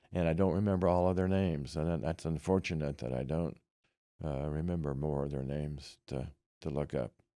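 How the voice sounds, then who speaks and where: This man has a very deep, low pitch and a dark, mellow tone, with a Midwestern US accent. He talks at a fairly quick pace with fairly even intonation, on a very clean recording with a silent background. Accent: US Midwest. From Kansas. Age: 80s+. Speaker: Vietnam veteran. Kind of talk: oral history interview. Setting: library. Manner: halting.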